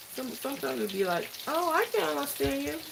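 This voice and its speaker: A woman talks at a moderate pace and medium pitch. Her pitch swings very widely over noticeable background noise. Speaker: cooking vlogger. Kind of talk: live cooking tutorial.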